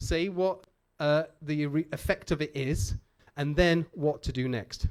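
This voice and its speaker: With a Manchester accent, a man speaks at a fairly slow pace in a fairly high pitch. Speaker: conference speaker. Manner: casual, jokey with audience.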